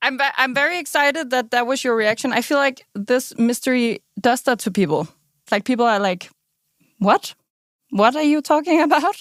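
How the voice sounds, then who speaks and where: In a very clean recording with a silent background and a dry, close sound with no echo, a woman speaks at a high pitch and a moderate pace with an enthusiastic tone, lively intonation, very even loudness and long, frequent pauses. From Denmark. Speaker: journalist. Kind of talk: interview.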